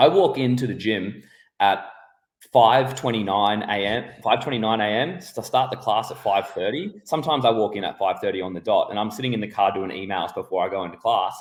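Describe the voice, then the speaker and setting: A man with an Australian accent talks at a fairly quick pace. His medium-pitched voice shows ordinary pitch variation. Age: 30s. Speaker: podcast host. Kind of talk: casual interview.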